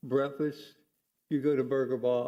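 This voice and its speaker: This man has an American accent, a dark, mellow tone and a fairly high pitch, and his intonation stays fairly even. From Miami, Florida. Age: 80s+. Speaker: retired school math teacher, public commenter. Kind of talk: public comment at city meeting. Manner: halting.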